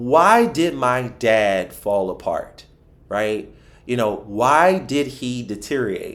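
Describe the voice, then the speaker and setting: Someone with a Philadelphia accent talks in an animated tone at a fairly slow pace, with lively intonation. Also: man. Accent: Philadelphia American English. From Philadelphia, US. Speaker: financial advisor. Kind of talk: podcast interview.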